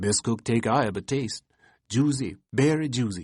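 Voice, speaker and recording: A man mumbling in a put-on character voice, medium in pitch, at a moderate pace against a quiet background. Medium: read story. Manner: mumbling, sullen.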